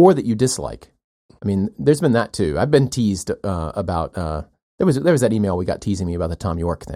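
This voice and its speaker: A man's fairly low voice with very wide pitch swings, a very fast pace and a dark, mellow tone. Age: 40s. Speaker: podcast co-host, former mathematician. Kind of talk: casual chat.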